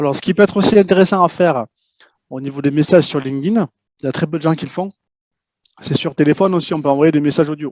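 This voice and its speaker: This man talks at a very fast pace in a fairly high pitch. His pitch variation is ordinary, broken by long, frequent pauses. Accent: slight southwestern French. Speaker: LinkedIn prospecting expert. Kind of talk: interview. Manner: hesitant, many fillers and repetitions.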